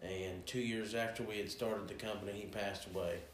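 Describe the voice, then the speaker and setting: Speaking in an Appalachian accent, a man uses a fairly low pitch and monotone, flat intonation, with audible room echo and noticeable background noise. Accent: Appalachian American. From West Virginia, Cross Lanes. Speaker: game call maker. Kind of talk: casual chat.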